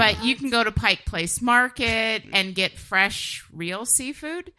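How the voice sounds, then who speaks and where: Against noticeable background noise, a woman with a fairly high pitch and lively intonation speaks at a very slow pace. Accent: American. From Washington state (Kent, near Seattle). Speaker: musician. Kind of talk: casual chat. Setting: studio.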